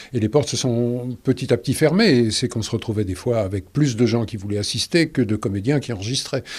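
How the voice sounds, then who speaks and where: A man's somewhat breathy speech, pitch varying in an ordinary way. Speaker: dubbing actor, stage actor. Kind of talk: interview answer. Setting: studio.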